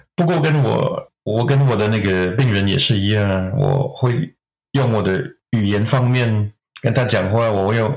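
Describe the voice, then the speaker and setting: A somewhat breathy voice in a French accent, at a moderate pace, with very even loudness and ordinary pitch variation. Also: man, medium pitch for a man. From Quebec, Canada. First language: French (speaking Chinese). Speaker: acupuncturist. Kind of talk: interview. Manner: halting.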